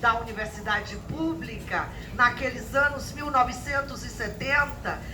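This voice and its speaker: Against noticeable background noise and audible room echo, a woman speaks in a high pitch. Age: 60s. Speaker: history professor. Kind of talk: lecture. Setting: university lecture hall with audience.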